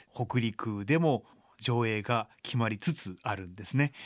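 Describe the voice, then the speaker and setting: A man with a medium pitch and ordinary pitch variation comes through in a very clean recording, silent in the background, with a dry, close sound and no echo. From Japan, Chiba. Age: 40s. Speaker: blind violinist. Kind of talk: radio interview.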